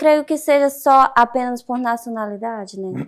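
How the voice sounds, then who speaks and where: This woman talks at a fairly slow pace with ordinary pitch variation. The recording is very clean, with a silent background. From Brazil. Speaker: canteen worker. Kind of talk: interview.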